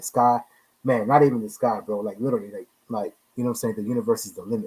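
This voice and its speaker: Speaking at a very fast pace, a man uses a medium pitch. The sound is dry and close, with no echo. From Panama. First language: Spanish. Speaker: podcast co-host. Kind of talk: casual chat.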